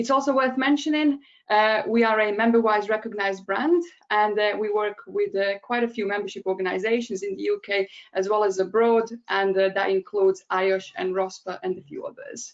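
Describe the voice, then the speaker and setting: The speaker has a Bosnian accent, a moderate pace and ordinary pitch variation. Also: woman, fairly high pitch for a woman. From Bosnia and Herzegovina. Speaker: digital strategist. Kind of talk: webinar presentation. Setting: online webinar.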